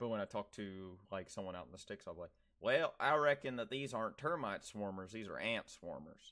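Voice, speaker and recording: With an American accent, a man speaks in a bright, sharp tone and lively intonation. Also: medium pitch for a man, fairly quick pace. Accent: Southern US, stronger with rural people. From US South. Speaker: streamer. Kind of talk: casual chat. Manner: animated.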